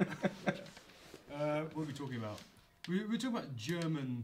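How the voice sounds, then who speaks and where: This man's voice is somewhat breathy and fairly high-pitched. He speaks at a fairly slow pace with lively intonation. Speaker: podcast host.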